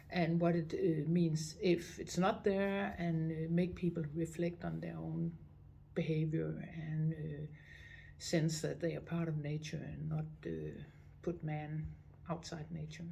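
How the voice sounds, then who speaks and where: A woman in a Danish accent at a fairly slow pace, with audible room echo. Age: 60s. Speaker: visitor center director. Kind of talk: interview. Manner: halting, many fillers.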